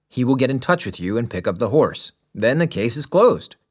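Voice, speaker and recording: Putting on a character voice, a man with a medium pitch and lively intonation speaks at a fairly quick pace in a very clean recording with a silent background. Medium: read story. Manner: brisk, official.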